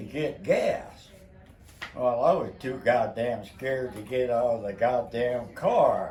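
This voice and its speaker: A man with an American accent at a very slow pace, with audible room echo and noticeable background noise. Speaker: family elder telling stories. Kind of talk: casual chat.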